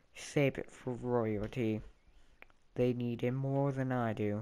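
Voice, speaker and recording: A man's gruff put-on character voice, medium in pitch, fairly slow, with monotone, flat intonation. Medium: read story. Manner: firm, gruff.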